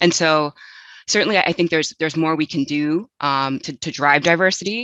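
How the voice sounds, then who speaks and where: With an American accent, a woman talks at a fairly quick pace in a very deep, low pitch and a bright, sharp tone, her sound dry and close with no echo against a quiet background. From United States. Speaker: journal editor, panelist. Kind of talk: panel discussion. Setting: webinar. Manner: halting, many repetitions and fillers.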